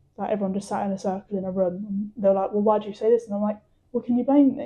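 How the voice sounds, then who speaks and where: A woman speaks very fast at a medium pitch, somewhat breathy, with fairly even intonation and a southern English accent. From England. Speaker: footballer. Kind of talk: testimony.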